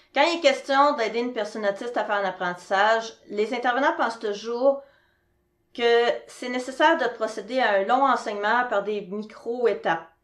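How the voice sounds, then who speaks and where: Showing ordinary pitch variation, a normal speaking voice talks at a moderate pace. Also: woman, fairly high pitch for a woman. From Quebec. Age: 40s. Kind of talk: presentation.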